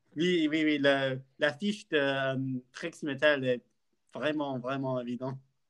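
At a very slow pace with long, frequent pauses, a man talks at a fairly high pitch with fairly even intonation. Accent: English. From UK. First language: English (speaking French). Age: 20s. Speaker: podcast co-host, university student. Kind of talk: casual chat. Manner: halting.

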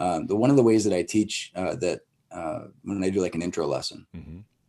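With an Upper Midwest accent, a man talks at a fairly low pitch in a dark, mellow tone with ordinary pitch variation. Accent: Upper Midwest American. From northern Wisconsin. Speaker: martial arts school owner. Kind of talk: casual interview.

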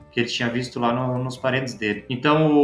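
Fairly even intonation amid noticeable background noise and an audible room echo. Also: man. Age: 20s. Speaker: vegetable farmer and agronomist. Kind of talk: casual interview.

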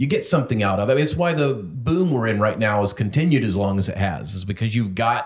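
Somewhat breathy speech at a fairly quick pace, with lively intonation. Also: man, medium pitch for a man. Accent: American. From North Carolina, US South. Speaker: podcast host. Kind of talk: casual interview chat. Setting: in-person recording in home studio.

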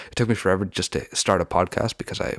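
A man's very fast speech in a Western Canadian accent, with ordinary pitch variation and a dry, close sound with no echo. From Canada, Vancouver area (Lower Mainland, British Columbia). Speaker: podcast host. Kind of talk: casual solo talk.

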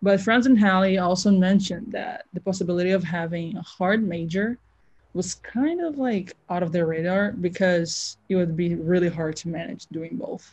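A woman with an American accent speaks at a moderate pace at a medium pitch. Her voice is somewhat breathy, with ordinary pitch variation. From outside the US. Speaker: student athlete, interviewer. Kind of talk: interview.

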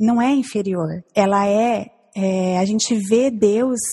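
A somewhat breathy voice with a dark, mellow tone at a very slow pace. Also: woman. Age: 40s. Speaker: church member, mother. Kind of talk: casual chat. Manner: halting.

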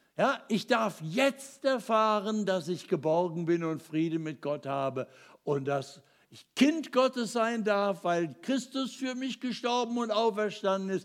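A man talks at a very slow pace in a high pitch, with very wide pitch swings and big swings in loudness. The recording is very clean, with a silent background. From Ruhr area, Germany. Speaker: preacher. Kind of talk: sermon.

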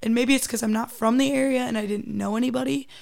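A woman's fairly high voice with vocal fry, in a very clean recording with a silent background. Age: 20s. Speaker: college student athlete. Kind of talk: casual interview. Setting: studio.

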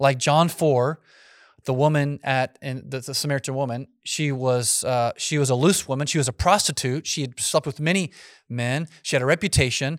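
A man speaks in a normal speaking voice, fairly high in pitch, at a moderate pace with fairly even intonation. The sound is dry and close with no echo, on a very clean recording with a silent background. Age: 40s. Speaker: pastor. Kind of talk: Q&A talk to youth group. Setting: room with live youth audience.

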